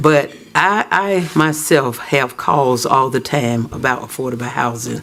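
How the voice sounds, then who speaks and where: Over noticeable background noise, a man with a Southern US accent talks at a fairly slow pace in a fairly high voice with ordinary pitch variation. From US South, Auburn, Alabama. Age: 60s. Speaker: citizen speaker at council meeting. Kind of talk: public comment at council meeting. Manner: halting.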